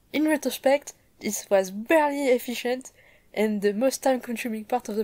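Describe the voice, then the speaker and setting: A high-pitched woman's voice in a strong French accent, upbeat with a dark, mellow tone, ordinary pitch variation and a moderate pace. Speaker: 3D modeling hobbyist, content creator. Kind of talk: tutorial vlog narration. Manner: casual, upbeat.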